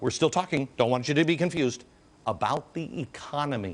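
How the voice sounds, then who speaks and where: Very wide swings in pitch and a creaky vocal fry mark this man's speech. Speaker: TV host. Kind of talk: TV talk show monologue. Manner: sarcastic.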